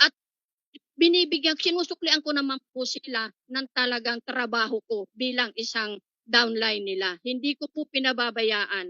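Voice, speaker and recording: A woman with a high pitch speaks at a moderate pace with ordinary pitch variation. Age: 60s. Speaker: network marketing member. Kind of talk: testimony. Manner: halting.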